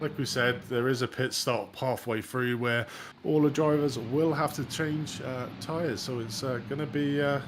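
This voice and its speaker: A man with an English accent talks at a moderate pace in a medium pitch. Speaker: sim racing commentator. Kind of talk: live commentary. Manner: animated.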